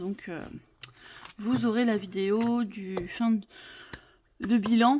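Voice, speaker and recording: A woman with a medium-pitched voice speaks very slowly with ordinary pitch variation. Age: 40s. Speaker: budget vlogger. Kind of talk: casual vlog talk to camera. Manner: hesitant, many fillers.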